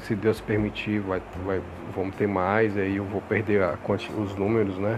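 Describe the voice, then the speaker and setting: Amid noticeable background noise, a man with a fairly low pitch speaks at a moderate pace in a monotone, flat intonation. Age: 40s. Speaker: religious podcast host. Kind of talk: religious monologue. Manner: halting, many fillers.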